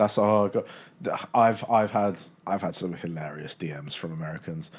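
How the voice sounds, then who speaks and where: A British accent at a moderate pace, with ordinary pitch variation. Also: man, fairly low pitch for a man. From UK. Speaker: sports content creator. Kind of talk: podcast interview.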